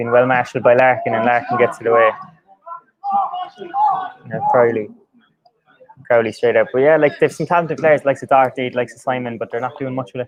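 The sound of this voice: The pitch barely moves as the speech goes at a fairly quick pace, broken by long, frequent pauses. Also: man, medium pitch for a man.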